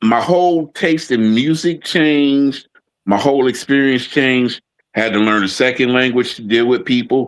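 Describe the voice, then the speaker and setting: Holding a very even loudness, a man with an American accent speaks in an unremarkable speaking voice. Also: medium pitch for a man, ordinary pitch variation, moderate pace. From Oakland and Fremont, California, US. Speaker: podcast co-host. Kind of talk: casual conversation.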